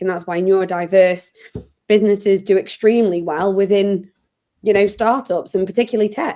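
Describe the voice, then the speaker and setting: A woman's medium-pitched voice, dark and mellow in tone, with fairly even intonation. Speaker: podcast host and recruitment founder. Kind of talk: interview.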